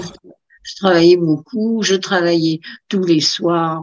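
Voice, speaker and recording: Speaking very slowly, a woman with a fairly low pitch keeps her intonation fairly even against a quiet background. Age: 80s+. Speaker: amateur pianist. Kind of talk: interview answer. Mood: warm, reminiscing. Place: home room. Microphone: video call.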